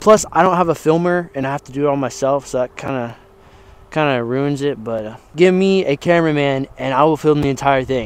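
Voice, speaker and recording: A man's voice at a fairly quick pace, with ordinary pitch variation and a dry sound free of echo. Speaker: fitness vlogger. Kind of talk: casual vlog chat. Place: street. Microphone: lapel.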